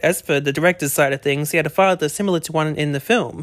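Talking at a very fast pace, a man with an Australian accent uses ordinary pitch variation. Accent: thick Australian. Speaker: podcast host. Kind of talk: casual chat, movie review podcast. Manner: chatty, upbeat.

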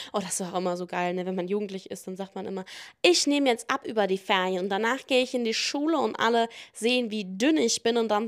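Recorded very cleanly against a silent background, a woman talks at a fairly quick pace in a fairly high pitch with ordinary pitch variation. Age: 20s. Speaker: podcast host. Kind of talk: casual monologue answering listener questions.

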